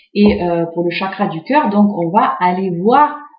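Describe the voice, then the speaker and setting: There is audible room echo as a woman speaks at a very slow pace. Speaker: tarot card reader. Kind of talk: tarot reading video, casual monologue. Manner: hesitant, many fillers.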